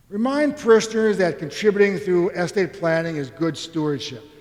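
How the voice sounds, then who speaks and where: Over noticeable background noise, a man speaks with an American accent at a moderate pace. His high pitch moves with lively intonation. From Philadelphia area, US. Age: 60s. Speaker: economics professor, keynote speaker. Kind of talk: conference keynote lecture. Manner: conversational, informal.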